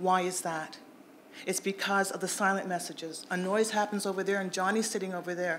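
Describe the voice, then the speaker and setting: This voice moves at a fairly quick pace and is a plain, everyday voice. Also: woman. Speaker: panel speaker at a public event. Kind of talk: timed panel talk.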